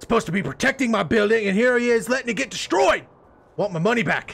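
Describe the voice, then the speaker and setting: In a gruff, put-on character voice, a man delivers lines in an angry tone with lively intonation. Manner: angry, gruff, cursing.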